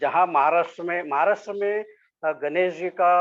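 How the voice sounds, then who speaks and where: This man speaks at a high pitch. His pitch varies in an ordinary way. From Maharashtra, India (Solapur). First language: Marathi (speaking Hindi). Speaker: sculptor. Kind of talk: interview. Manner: halting, many fillers; polite, humble.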